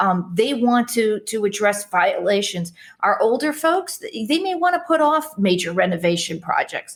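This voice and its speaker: A woman's fairly high voice with a Chicago accent and very wide pitch swings. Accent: Chicago American English. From US Midwest (Chicago).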